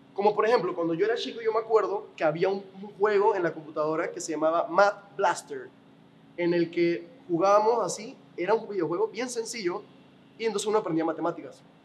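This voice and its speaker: A man talks at a fairly quick pace with a high pitch. Noticeable background noise runs underneath. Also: ordinary pitch variation. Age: 20s. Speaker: podcast host. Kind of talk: interview.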